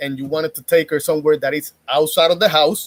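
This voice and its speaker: In a dry, close sound with no echo, a man with a Spanish accent speaks at a fairly quick pace. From Puerto Rico. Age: 30s. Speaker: YouTuber giving dating commentary. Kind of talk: casual monologue.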